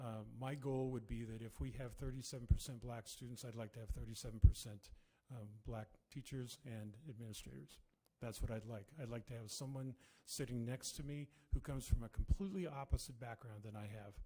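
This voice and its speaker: A man speaks at a fairly quick pace with a dark, mellow, somewhat breathy tone and medium pitch. His pitch varies an ordinary amount, while his loudness swings widely. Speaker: superintendent candidate. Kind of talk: job interview. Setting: school board meeting.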